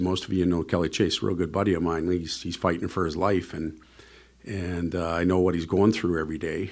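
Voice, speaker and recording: Audible room echo surrounds a man with a very deep, low pitch. He speaks at a moderate pace with fairly even intonation. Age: 50s. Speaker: NHL head coach. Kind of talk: press conference Q&A.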